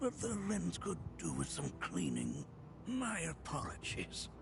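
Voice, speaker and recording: A man performs a put-on character voice at a fairly slow pace. Loud background noise fills the recording. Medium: video game. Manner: chuckling, grandfatherly.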